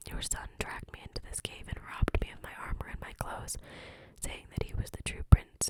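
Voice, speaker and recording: Noticeable background noise accompanies a whispering voice. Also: woman. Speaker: ASMR creator. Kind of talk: reading aloud.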